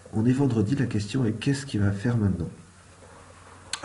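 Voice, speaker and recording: A soft-spoken man talks at a fairly quick pace. Audible room echo surrounds his voice. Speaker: forex trading analyst. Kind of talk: market analysis tutorial. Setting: at home.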